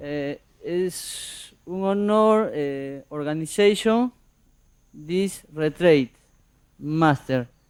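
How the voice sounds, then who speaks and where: A man speaks with a Spanish accent at a very slow pace. His pitch is fairly high, with ordinary variation. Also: long, frequent pauses. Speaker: audience member. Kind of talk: question to teacher. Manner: halting.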